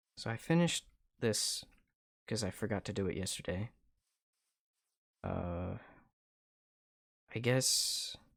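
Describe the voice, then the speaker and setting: Quiet and calm in tone, a man speaks at a fairly slow pace with long, frequent pauses on a very clean recording with a silent background. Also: medium pitch for a man, lively intonation. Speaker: video game streamer. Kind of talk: casual gameplay commentary. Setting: live stream. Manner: calm, low-energy.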